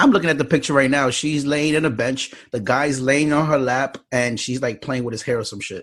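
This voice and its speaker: On a very clean recording with a silent background, a man with a New York accent talks at a fairly quick pace in a fairly high pitch, his intonation fairly even. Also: hardly any pauses. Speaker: podcast host. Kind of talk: casual chat.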